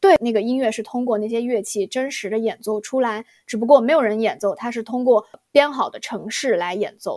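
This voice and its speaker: The delivery comes at a fairly quick clip in an ordinary speaking voice, its pitch rising and falling in the usual way. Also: woman, fairly high pitch for a woman, big swings in loudness. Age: young. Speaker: podcast host. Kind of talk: casual chat.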